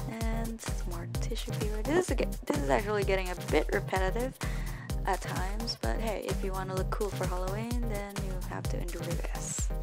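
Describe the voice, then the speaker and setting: Over loud music in the background, a woman speaks at a moderate pace. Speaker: college student. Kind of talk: casual makeup tutorial narration. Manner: whispered. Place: home room. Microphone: webcam.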